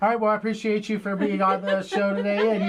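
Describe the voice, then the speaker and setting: Noticeable background noise sits under a man's voice. He speaks at a high pitch in a monotone, flat way. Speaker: radio host. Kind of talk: radio interview. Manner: stuttering today.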